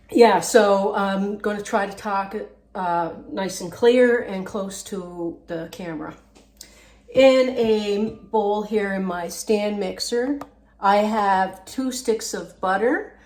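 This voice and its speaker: A woman at medium pitch speaks at a very slow pace with big swings in loudness, over noticeable background noise and audible room echo. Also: ordinary pitch variation. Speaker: home cooking channel host. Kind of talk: cooking tutorial. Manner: halting.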